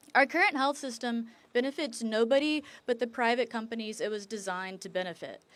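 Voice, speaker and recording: A woman with a normal speaking voice and an American accent talks at a fairly quick pace, her pitch fairly high with ordinary variation. The recording is very clean, with a silent background. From rural US. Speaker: medical student. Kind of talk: prepared speech.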